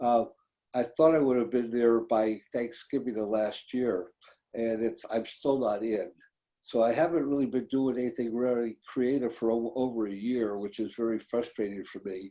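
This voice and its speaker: The man's voice is medium in pitch, with a dark, mellow tone. He moves at a moderate pace with ordinary pitch variation. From San Francisco, US West Coast. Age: 80s+. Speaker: sculptor and filmmaker. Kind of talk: interview conversation.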